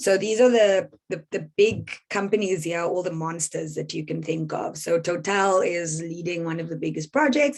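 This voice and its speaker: A woman with a normal speaking voice talks at a moderate pace and fairly low pitch, with ordinary pitch variation and hardly any pauses. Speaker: environmental campaigner. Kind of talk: presentation.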